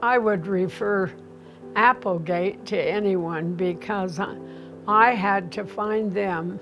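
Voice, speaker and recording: A woman speaks at a very slow pace with fairly even intonation. Music plays in the background and the room echo is audible. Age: 80s+. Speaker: home health patient. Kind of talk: testimony.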